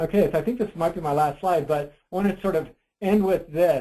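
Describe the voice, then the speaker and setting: The man's voice has a dark, mellow tone. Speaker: psychology researcher. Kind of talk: webinar presentation. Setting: online webinar. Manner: fast; hesitant, many fillers.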